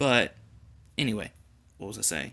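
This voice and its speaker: With an American accent, a man speaks in a bright, sharp tone marked by vocal fry. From US South. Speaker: gaming YouTuber. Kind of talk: casual gameplay commentary. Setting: home recording late at night. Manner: casual, rambling.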